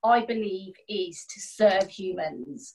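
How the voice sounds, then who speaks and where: Her delivery is very slow. The woman's voice sits at a medium pitch and rises and falls in an ordinary way. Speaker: coaching class participant. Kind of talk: coaching session.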